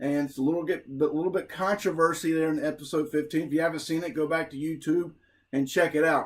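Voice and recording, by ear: Fast and fairly even in intonation, the voice carries an American accent. It has a slightly husky edge. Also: man, fairly high pitch for a man.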